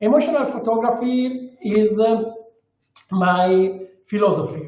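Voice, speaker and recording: A man with an Italian accent, high-pitched for a man, at a fairly slow pace, with audible room echo. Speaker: underwater photographer. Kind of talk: webinar presentation. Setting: video call. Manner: halting.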